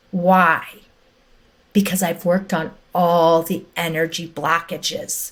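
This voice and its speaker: The woman's voice is somewhat breathy. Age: 60s. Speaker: energy healer. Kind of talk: podcast interview. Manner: animated.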